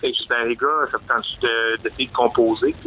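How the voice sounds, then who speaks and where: The speaker is a man in a Quebec accent. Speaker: metal band singer. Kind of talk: interview.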